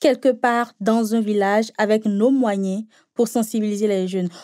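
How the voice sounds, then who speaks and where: A woman with a fairly high, dark and mellow voice speaks at a fairly slow pace with fairly even intonation. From Benin. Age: 20s. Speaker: NGO founder and journalism student. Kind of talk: interview. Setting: remote recording. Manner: hesitant, frequent fillers.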